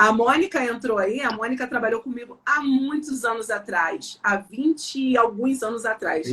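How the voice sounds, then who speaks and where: With hardly any pauses, a woman speaks in a high-pitched, bright and sharp voice with ordinary pitch variation. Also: moderate pace. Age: 40s. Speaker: sales mentor and business consultant. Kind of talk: live-stream interview. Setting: live stream. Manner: assertive.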